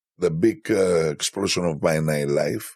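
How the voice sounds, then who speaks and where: A man with a Greek accent, vocal fry, very wide pitch swings and a fairly slow pace. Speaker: DJ. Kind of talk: interview. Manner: halting.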